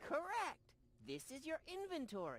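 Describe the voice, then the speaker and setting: A put-on character voice with a high pitch moves at a moderate pace. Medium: video game. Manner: dry, pedantic.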